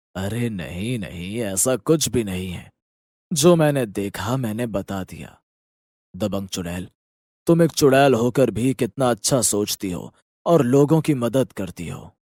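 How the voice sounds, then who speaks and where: This is a cartoonish character voice of a man with a medium pitch. He talks at a fairly slow pace in a calm tone. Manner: calm, measured.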